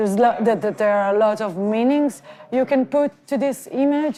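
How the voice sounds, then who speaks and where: A woman with a non-native accent, a fairly high pitch, a dark, mellow tone and lively intonation. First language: not English. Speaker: filmmaker. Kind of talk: interview. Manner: halting.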